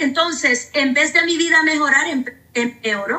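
A woman speaks in a raised, projected voice with a bright, sharp tone and a high pitch. Her pace is fairly slow, with ordinary pitch variation. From Honduras. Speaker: pastor. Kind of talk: testimony.

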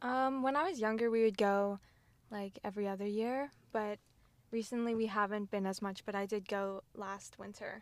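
A woman with an American accent has an unremarkable speaking voice and a fairly high pitch. She keeps a moderate pace and fairly even intonation. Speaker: student and clothing brand founder. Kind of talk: casual interview.

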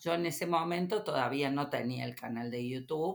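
With lively intonation, a woman speaks in a Córdoba Argentine accent. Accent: Cordoban Argentine Spanish. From Córdoba, Argentina. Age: 50s. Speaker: teacher and YouTuber. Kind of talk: interview. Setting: studio.

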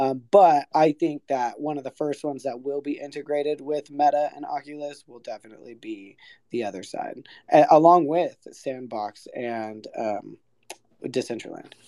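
A man with a fairly high pitch and a dark, mellow tone is recorded with a dry, close sound and no echo. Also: ordinary pitch variation, moderate pace, big swings in loudness. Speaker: audience member. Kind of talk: casual chat.

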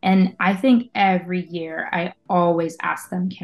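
A woman with an American accent, her voice somewhat breathy. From western Pennsylvania, Pittsburgh area. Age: 30s. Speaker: community manager and musician. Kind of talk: casual interview chat.

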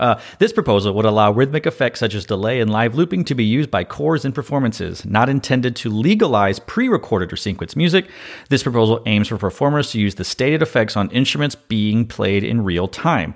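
On a very clean recording with a silent background, a man talks at a very fast pace with lively intonation. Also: medium pitch for a man. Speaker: podcast host. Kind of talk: casual interview chat.

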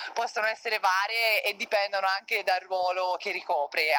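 Fairly quick talking from a woman amid noticeable background noise. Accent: Tuscan. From Tuscany, province of Florence (Figline Valdarno). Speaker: professional volleyball player. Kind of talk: interview.

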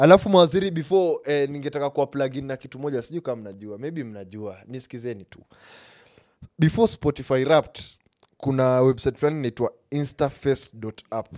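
In a Kenyan accent, a man with fairly high pitch and ordinary pitch variation speaks very fast, his loudness swinging widely, in a dry, close sound with no echo. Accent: Kenyan English, Sheng code-switching. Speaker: podcast host. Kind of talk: casual interview chat.

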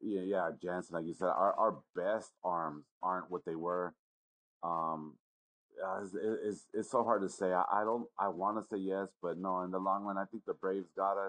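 Dry and close with no echo, a man's very deep, low voice moves at a moderate pace with fairly even intonation. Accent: American. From Los Angeles. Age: 40s. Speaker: sports bettor. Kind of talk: casual chat.

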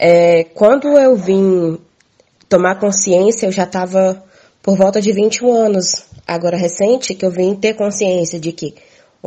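A woman speaks at a fairly slow pace in a normal speaking voice. Her pitch varies in an ordinary way. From Minas Gerais, Brazil. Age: 20s. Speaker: farmer and community communicator. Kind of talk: interview testimony.

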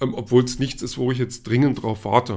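A man talks at a fairly quick pace. His voice is medium in pitch, with fairly even intonation. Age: 40s. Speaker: podcast host, film and comics reviewer. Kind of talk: solo monologue podcast. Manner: hesitant, many fillers.

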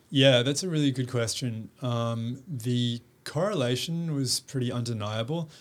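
The speaker has an Australian accent and a fairly slow pace, with ordinary pitch variation. The recording is very clean, with a silent background. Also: man, medium pitch for a man. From Western Australia, Perth. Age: 30s. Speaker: fashion influencer and sustainability advocate. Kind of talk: casual interview. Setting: studio.

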